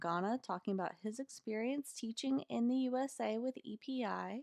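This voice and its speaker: Speaking in an unremarkable speaking voice with an American accent, a woman talks at a moderate pace with lively intonation, the sound dry and close with no echo. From US South, North Carolina mountains. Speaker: content coordinator, former English teacher. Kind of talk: webinar presentation. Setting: webinar. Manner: formal.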